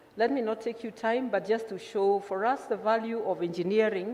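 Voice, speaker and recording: A woman speaks with a fairly high pitch over noticeable background noise. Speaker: engineer presenting at a conference. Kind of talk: conference presentation. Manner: fast.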